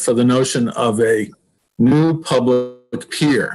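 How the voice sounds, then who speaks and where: With an American accent, this man has a plain, everyday voice, a medium pitch and ordinary pitch variation. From Massachusetts (South Shore). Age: 60s. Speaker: sailing club member proposing a pier. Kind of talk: public meeting presentation.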